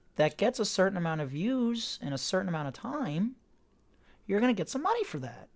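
A man talks at a fairly quick pace in a high voice with very wide pitch swings. The recording is very clean, with a silent background. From Florida. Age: 30s. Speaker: actor. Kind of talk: casual chat.

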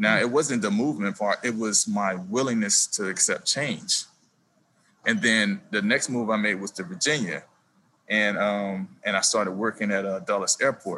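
A man with an American accent, fairly low in pitch with ordinary pitch variation, at a moderate pace and with a bright, sharp tone. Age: 40s. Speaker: city airport manager, COVID relief volunteer. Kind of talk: casual interview chat.

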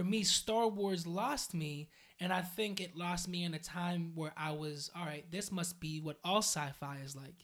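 A man with an American accent and a high voice, fairly slow in pace, with ordinary pitch variation and hardly any pauses. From western Pennsylvania (Aliquippa, near Pittsburgh). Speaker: youth worker and DJ. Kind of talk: casual interview.

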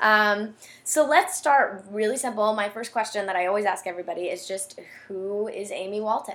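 With an unremarkable speaking voice, a woman talks at a moderate speed, her pitch varying in an ordinary way. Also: fairly high pitch for a woman. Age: 20s. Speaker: podcast host. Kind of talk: interview conversation; scripted intro.

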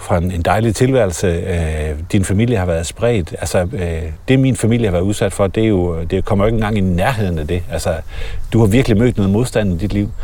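Speech comes at a moderate pace. Noticeable background noise runs underneath. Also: man. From Denmark. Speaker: podcast host. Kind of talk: casual interview. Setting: outdoors walking in a forest.

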